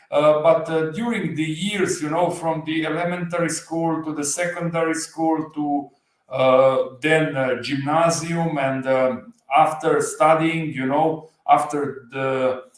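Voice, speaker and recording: Speaking with a slight Slovenian accent, a man uses a fairly high pitch and fairly even intonation at a fairly slow pace. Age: 40s. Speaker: motorcycle channel creator. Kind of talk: livestream interview. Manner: halting, many fillers.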